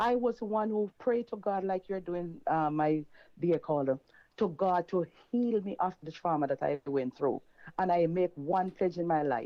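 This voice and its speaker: A woman with a normal speaking voice talks at a moderate pace, her fairly low pitch rising and falling in lively intonation. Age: 60s. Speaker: caller. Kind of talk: testimony.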